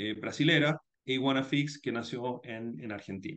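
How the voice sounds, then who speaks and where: A man with a normal speaking voice, a moderate pace and ordinary pitch variation. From Chile. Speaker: startup founder and CEO. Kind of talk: interview.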